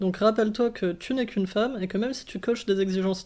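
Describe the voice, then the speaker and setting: Medium in pitch, a woman talks at a fairly quick pace with fairly even intonation. The recording is very clean, with a silent background. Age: 20s. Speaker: philosophy student. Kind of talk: interview. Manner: calm, measured; hesitant.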